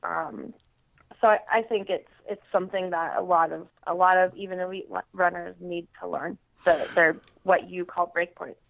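A woman talks at a moderate pace, her loudness swinging widely. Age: young. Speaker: elite marathon and obstacle course runner. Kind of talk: casual interview. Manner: hesitant, many fillers.

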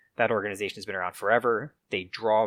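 In a very clean recording with a silent background, a man with an American accent speaks with a fairly low pitch, a bright, sharp tone and fairly even intonation. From upstate New York. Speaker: soccer podcast co-host. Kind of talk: casual chat.

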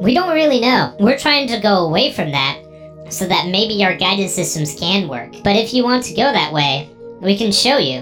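A put-on character voice sits at a middle pitch and moves at a moderate pace. Music plays clearly in the background.

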